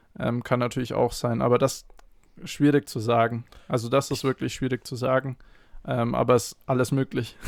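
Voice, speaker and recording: A man talks in a plain, everyday voice at medium pitch. His intonation is fairly even, his pace moderate, and the sound dry and close with no echo. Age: 20s. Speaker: athletic trainer. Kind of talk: podcast interview.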